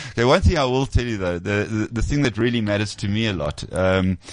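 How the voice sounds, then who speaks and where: In an ordinary speaking voice, a man talks at a fairly low pitch with ordinary pitch variation. The sound is dry and close with no echo, over a quiet background. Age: 50s. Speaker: photographer. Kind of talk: casual chat. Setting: studio.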